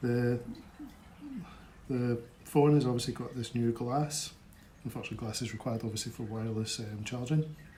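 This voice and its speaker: A man with a Scottish accent speaks at a medium pitch in a monotone, flat intonation. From Scotland. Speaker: tech unboxing presenter. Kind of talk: product unboxing review. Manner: casual, hesitant with fillers.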